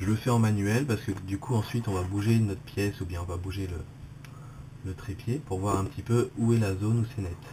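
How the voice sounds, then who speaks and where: A man with a fairly low pitch and a dark, mellow, somewhat breathy tone talks at a fairly quick pace with fairly even intonation. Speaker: photography youtuber. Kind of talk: tutorial. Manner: hesitant, many fillers.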